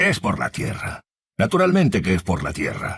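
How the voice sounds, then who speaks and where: Using a put-on character voice, a man rumbles along at a moderate pace. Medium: read story. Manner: grumpy, grumbling.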